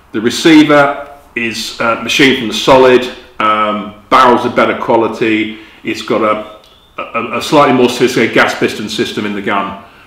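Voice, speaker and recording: A man with a British accent speaks at medium pitch and a moderate pace with fairly even intonation, with audible room echo and noticeable background noise. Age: 60s. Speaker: magazine editor and gun reviewer. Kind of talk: product review. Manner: casual with frequent fillers and hesitations.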